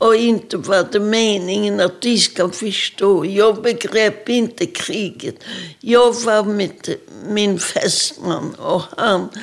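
At a very slow pace, a woman speaks in a fairly high pitch with ordinary pitch variation. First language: Polish (speaking Swedish). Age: 80s+. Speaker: Holocaust survivor. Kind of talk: testimony.

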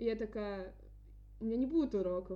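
Noticeable background noise underlies fairly quick speech with ordinary pitch variation. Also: woman. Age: 20s. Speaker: podcast host, student. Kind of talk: casual chat.

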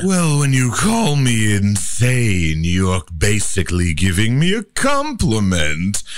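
A man does a put-on character voice, fairly low in pitch. He goes at a fairly slow pace with hardly any pauses and very even loudness. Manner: insane, creepy.

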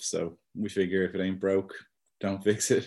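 A man's very deep, low voice has a dark, mellow tone and a monotone, flat intonation. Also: quiet background. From Dublin, Ireland. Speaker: electronic music producer and musician. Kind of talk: casual interview chat. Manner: hesitant, frequent repeats and filler.

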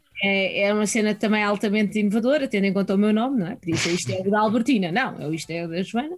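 Against noticeable background noise, a woman speaks very fast with hardly any pauses. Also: medium pitch for a woman, ordinary pitch variation. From Portugal, Sintra area (Lisbon region). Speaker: philosophy teacher. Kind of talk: casual chat. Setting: video call.

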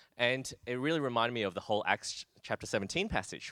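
In an Australian accent, a man talks on a very clean recording with a silent background and a dry, close sound with no echo. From Australia, Brisbane. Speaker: pastor. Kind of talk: interview.

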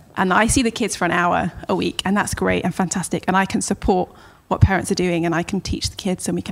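Using a fairly quick pace, a woman with a southern English accent talks with vocal fry. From Southampton, southern England. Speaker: children's ministry leader. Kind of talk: interview.

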